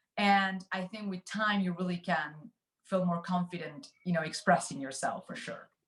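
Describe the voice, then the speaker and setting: Talking at a moderate pace, a woman with a Spanish accent uses medium pitch and ordinary pitch variation. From Argentina, Buenos Aires. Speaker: finance executive. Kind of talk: interview. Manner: hesitant, many fillers.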